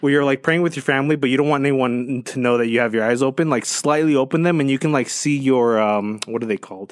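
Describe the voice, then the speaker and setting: An animated man at medium pitch, very fast in pace with hardly any pauses and ordinary pitch variation. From Colombia (Medellín). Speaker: guest sharing sleep paralysis experiences. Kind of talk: casual interview. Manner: animated, casual with many fillers.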